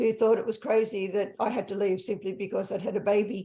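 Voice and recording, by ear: A woman at a moderate pace, medium in pitch, with a dark, mellow tone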